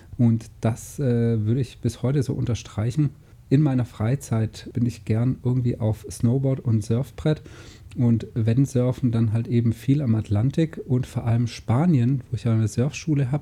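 Somewhat breathy and dark, mellow in tone, a man talks at a fairly slow pace with fairly even intonation and very even loudness. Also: medium pitch for a man. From southern Germany, Lake Constance. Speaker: podcast co-host, online business entrepreneur. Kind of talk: casual chat.

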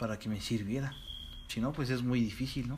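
With a Mexican accent, a man of medium pitch speaks at a moderate pace in a somewhat breathy voice. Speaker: podcast co-host. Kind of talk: casual chat.

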